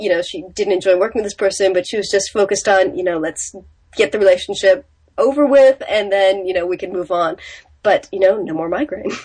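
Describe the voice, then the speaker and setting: A woman's medium-pitched voice, with ordinary variation, rushes along at a very fast pace. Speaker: business coach. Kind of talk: casual interview.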